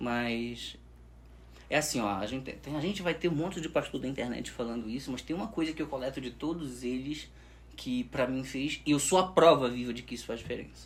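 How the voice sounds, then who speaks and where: A man speaks with a somewhat breathy voice. His pitch moves in a lively way. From northern Brazil, Pará. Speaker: sales expert. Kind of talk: podcast interview. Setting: studio.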